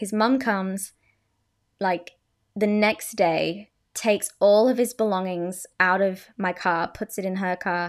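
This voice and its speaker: This woman talks at a fairly slow pace with ordinary pitch variation. The recording is very clean, with a silent background. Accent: Australian. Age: 20s. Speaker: podcast host. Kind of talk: casual storytelling monologue. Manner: animated.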